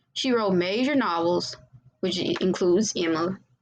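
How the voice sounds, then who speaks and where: At medium pitch, a woman speaks with lively intonation and vocal fry. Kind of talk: class presentation narration. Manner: hesitant, stuttering.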